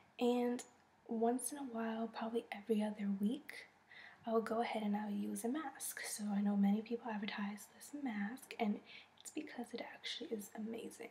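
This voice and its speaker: A woman whispers breathily at a moderate pace over noticeable background noise. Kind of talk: casual talk to camera.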